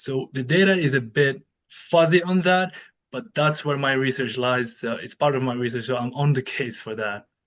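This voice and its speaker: The speaker is a man with a non-native accent. There is ordinary variation in his pitch. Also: medium pitch for a man, moderate pace. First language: not English. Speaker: researcher and keynote speaker. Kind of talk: conference Q&A. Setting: conference with audience. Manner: halting.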